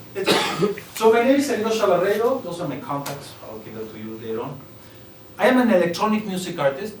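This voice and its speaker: With very wide pitch swings, a man speaks at a fairly quick pace, heard with audible room echo and noticeable background noise. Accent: Spanish. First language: Spanish. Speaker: electronic music artist. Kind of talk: master class talk. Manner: halting.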